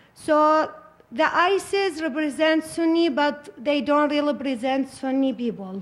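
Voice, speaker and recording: A woman's high-pitched voice with ordinary pitch variation and very even loudness. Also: fairly slow pace. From Iraq. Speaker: refugee panelist. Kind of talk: panel discussion. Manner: halting.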